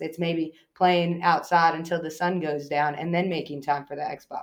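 A woman's unremarkable speaking voice with an American accent, fairly low in pitch, at a moderate pace with fairly even intonation. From US Northeast, eastern Long Island, New York. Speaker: athletic trainer and youth sports director. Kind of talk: casual interview.

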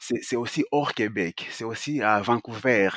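A man's voice at medium pitch, very slow, with ordinary pitch variation, dry and close with no echo, on a very clean recording against a silent background. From Congo. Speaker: actor and author. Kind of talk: interview. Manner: halting, many fillers.

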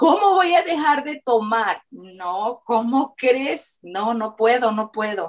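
A woman speaks at a very slow pace. Her fairly high voice moves in very wide pitch swings. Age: 50s. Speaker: weight-loss client. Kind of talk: testimony.

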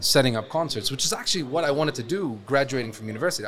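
Over noticeable background noise, a man speaks at a very fast pace with ordinary pitch variation. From Lebanon. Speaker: events company founder. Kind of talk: interview. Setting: studio.

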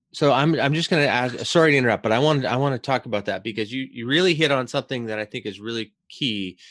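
Very fast speech with hardly any pauses and ordinary pitch variation on a very clean recording with a silent background. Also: man, medium pitch for a man. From Canada. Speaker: podcast host. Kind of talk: casual interview chat.

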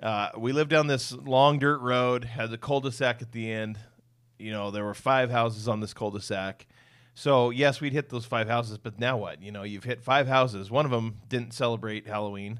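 On a very clean recording with a silent background, a man with an American accent uses a normal speaking voice at medium pitch. His intonation is fairly even, his pace moderate, and his loudness swings widely. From US Pacific Northwest (Western Washington). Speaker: podcast host. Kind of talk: casual chat.

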